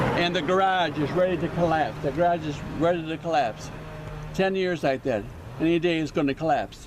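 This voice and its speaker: A man's fairly high voice at a fairly quick pace, with fairly even intonation and noticeable background noise. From New York. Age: 70s. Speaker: local resident. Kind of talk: complaint on camera. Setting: outdoors.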